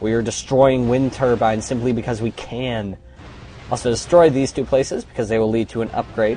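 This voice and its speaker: A man talks at a fairly quick pace and a medium pitch, his tone energetic. Music plays in the background. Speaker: let's play gamer. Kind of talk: gameplay commentary. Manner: fast.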